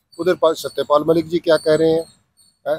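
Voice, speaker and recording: Recorded with a dry, close sound and no echo, a man with a fairly high voice talks at a moderate pace. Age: 60s. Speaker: writer and social activist. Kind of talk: interview. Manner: halting, with fillers.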